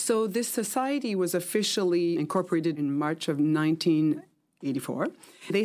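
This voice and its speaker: A woman talks at a fairly quick pace in a dark, mellow tone with ordinary pitch variation. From Quebec, Canada. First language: French (dominant, though English learned first). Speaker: museum manager. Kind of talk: interview.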